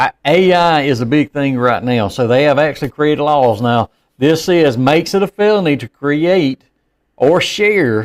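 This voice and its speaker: A man's fairly high voice in a dry, close sound with no echo, on a very clean recording with a silent background. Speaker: podcast co-host, former law enforcement officer. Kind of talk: casual chat. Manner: fast.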